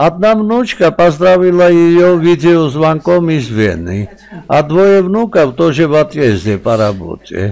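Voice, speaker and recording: A man talks at a very slow pace with a fairly high pitch and very wide pitch swings. His loudness stays very even. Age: old. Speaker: family video blogger. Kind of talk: casual vlog narration.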